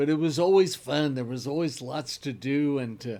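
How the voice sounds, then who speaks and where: Over a silent background on a very clean recording, a man with a Midwestern US accent speaks at a moderate pace. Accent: US Midwest. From Kansas, Wichita. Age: 70s. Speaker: local history presenter. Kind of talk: casual storytelling talk. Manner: relaxed, rambling with fillers.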